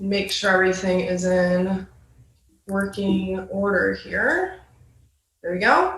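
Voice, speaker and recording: A woman talks at a very slow pace in an American accent, her pitch medium. Room echo is audible. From Michigan, Ann Arbor. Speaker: graduate student intern presenting. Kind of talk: presentation at a virtual meeting. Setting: video call.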